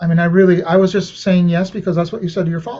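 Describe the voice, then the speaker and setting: A man with a high pitch and a dark, mellow tone speaks with a Spanish accent. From Venezuela. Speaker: saxophonist. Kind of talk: interview. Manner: casual, conversational.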